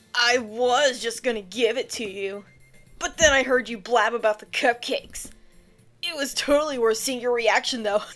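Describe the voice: At a moderate pace, a woman does a put-on character voice that is high-pitched and gravelly, with faint music in the background.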